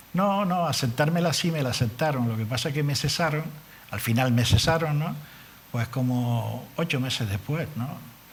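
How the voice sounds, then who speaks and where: A man speaks at a medium pitch and moderate pace, sounding somewhat breathy. His pitch varies in an ordinary way, and audible room echo surrounds the voice. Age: 70s. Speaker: politician. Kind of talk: TV interview. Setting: TV studio.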